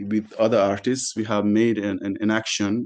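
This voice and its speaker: A man talks at a moderate pace in a monotone, flat intonation. The background is quiet. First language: French. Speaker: panelist, artist and activist. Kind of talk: panel discussion. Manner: halting, many repetitions.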